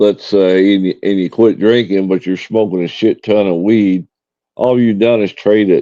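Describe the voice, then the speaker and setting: A man's fairly low, dark and mellow voice in a Tennessee accent, monotone and flat in intonation, at a moderate pace, with a dry, close sound and no echo. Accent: US Southern (Tennessee). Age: 60s. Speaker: live streamer. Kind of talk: casual chat. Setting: live stream.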